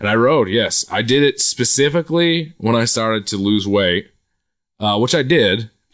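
A man with an American accent has an unremarkable speaking voice at medium pitch, with lively intonation and very even loudness. He keeps a moderate pace over a quiet background. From Quincy, Massachusetts (Boston area). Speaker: comedian. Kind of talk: casual chat.

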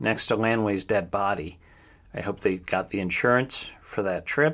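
A very clean recording of a man with an American accent, set against a silent background. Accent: slight Ohio accent, shows at times. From Ohio. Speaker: true crime podcast host. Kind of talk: news roundup with commentary. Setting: home studio. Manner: hesitant, many fillers.

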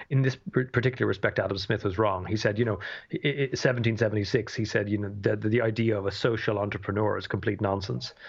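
Hardly pausing, a man with a Dublin accent rushes along at a very fast pace, his fairly low voice somewhat breathy and his intonation fairly even. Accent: Irish (Dublin). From Ireland, Dublin. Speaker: economics professor. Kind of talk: interview. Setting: remote call from home. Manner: halting, many fillers and repetitions.

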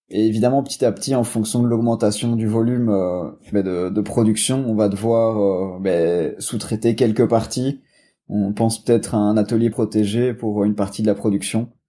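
A man's fairly low voice with a dark, mellow tone, fairly even intonation and a moderate pace against a quiet background. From Belgium. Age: 20s. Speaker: sports nutrition entrepreneur. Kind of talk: casual interview. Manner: hesitant, many fillers.

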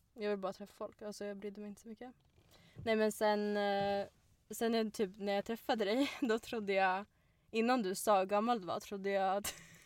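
Over a very clean recording with a silent background, a woman speaks at a fairly quick pace in a monotone, flat intonation. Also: medium pitch for a woman, big swings in loudness. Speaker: podcast host. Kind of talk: casual chat.

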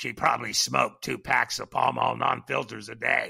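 Here a man uses a raspy, put-on character voice. His pace is moderate.

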